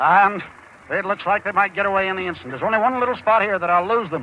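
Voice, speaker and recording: A man's high, raised and projected voice at a very fast pace, excited in tone, with ordinary pitch variation. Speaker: sportscaster. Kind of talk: live horse race call. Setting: outdoors. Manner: fast, excited.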